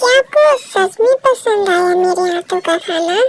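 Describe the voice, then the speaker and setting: A woman's squeaky, put-on character voice at an extremely high pitch, lively in intonation and fairly slow in pace. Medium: read story. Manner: soft, gentle.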